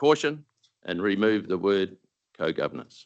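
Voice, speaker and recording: A man talks at a fairly quick pace in a New Zealand accent. The background is quiet. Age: 70s. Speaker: retired dairy farmer speaking at a council deputation. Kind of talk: formal submission to council. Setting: council meeting chamber. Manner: formal, read from prepared text.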